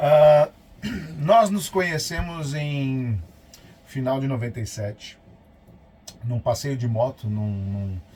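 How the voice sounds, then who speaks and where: Very slow, lively-intoned speech from a man, broken by long, frequent pauses. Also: medium pitch for a man. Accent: São Paulo. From São Paulo city, Brazil. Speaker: vlogger, motorhome traveler. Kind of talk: casual chat.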